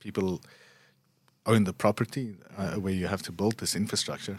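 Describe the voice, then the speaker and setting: The speech moves at a fairly quick pace in a monotone, flat intonation, recorded very cleanly with a silent background and a dry, close sound with no echo. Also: man. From South Africa. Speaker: urban researcher. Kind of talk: casual interview. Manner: halting, many fillers and repetitions.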